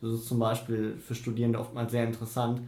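Here a man speaks at medium pitch. His tone is dark and mellow, and somewhat breathy. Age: 20s. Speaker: student union treasurer. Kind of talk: interview. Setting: office.

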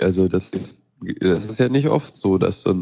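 With a dark, mellow tone and a fairly low pitch, a man talks at a fairly slow pace. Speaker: radio show co-host. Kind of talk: casual tech news chat. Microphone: unstable internet connection.

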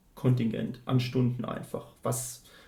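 With vocal fry at medium pitch, a man talks with fairly even intonation. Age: 30s. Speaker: student counsellor. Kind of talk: interview. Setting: office.

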